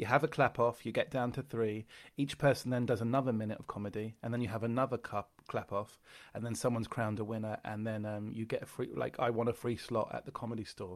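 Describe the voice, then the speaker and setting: On a very clean recording with a silent background, a man with a London accent speaks very fast at a medium pitch in a monotone, flat delivery. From London, England. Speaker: comedian. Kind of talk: casual chat.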